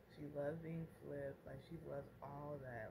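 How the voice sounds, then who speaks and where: Against noticeable background noise, the voice moves along at a moderate pace. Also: woman. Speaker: mom vlogger. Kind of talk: casual vlog chat. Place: home room. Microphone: phone near.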